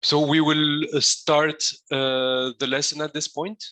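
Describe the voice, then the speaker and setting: The man's voice sits fairly high and has a bright, sharp tone. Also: dry, close sound with no echo. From Tunisia. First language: Arabic. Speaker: coding instructor. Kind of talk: lecture. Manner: halting, many fillers.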